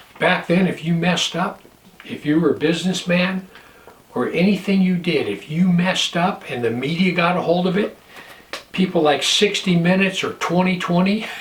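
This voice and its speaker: Amid noticeable background noise, a man with a high voice talks at a moderate pace with fairly even intonation. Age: 60s. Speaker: pastor and prepper vlogger. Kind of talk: casual vlog monologue.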